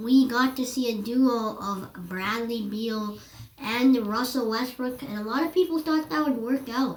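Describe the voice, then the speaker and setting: At a very slow pace, a woman with a fairly high pitch speaks with ordinary pitch variation over noticeable background noise. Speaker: basketball analysis YouTuber. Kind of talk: casual sports commentary narration.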